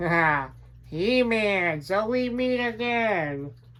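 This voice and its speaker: A put-on character voice speaks at a very slow pace with a fairly high pitch. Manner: sneering, taunting.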